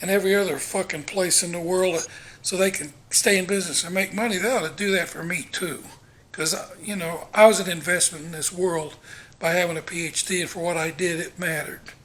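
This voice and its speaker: The delivery is very fast, with fairly even intonation. Noticeable background noise can be heard. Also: man. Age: 60s. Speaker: vlogger. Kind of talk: casual monologue. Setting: walking around home.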